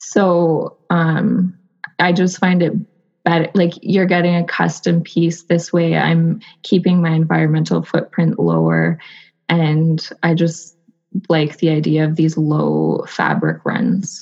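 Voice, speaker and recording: In a Canadian accent, a woman speaks at a very slow pace with very even loudness. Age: 30s. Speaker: textile designer. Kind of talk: casual chat. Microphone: connection freezing.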